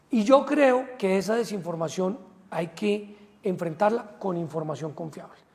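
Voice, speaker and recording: A man talks fairly slowly while noticeable background noise runs underneath. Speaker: politician. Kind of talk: interview. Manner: hesitant fillers.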